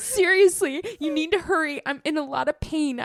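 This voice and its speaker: Strained and delivered at a moderate pace, the put-on character voice carries the line. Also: woman, extremely high pitch for a woman. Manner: through gritted teeth, strained.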